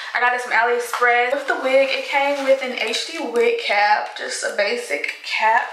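Against light background noise and audible room echo, a woman speaks at a high pitch. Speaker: beauty vlogger. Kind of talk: casual vlog chat. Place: home room. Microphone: phone near.

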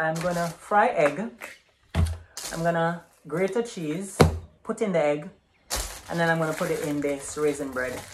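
Loud background noise fills the clip as a man speaks with long, frequent pauses. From Jamaica. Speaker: vlogger. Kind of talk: casual talk to camera. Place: kitchen.

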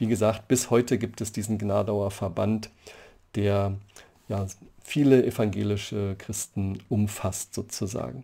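Here a man speaks with a fairly low, dark, mellow voice. His pace is fairly slow and his intonation fairly even. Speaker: church history professor. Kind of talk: lecture. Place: home room. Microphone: webcam.

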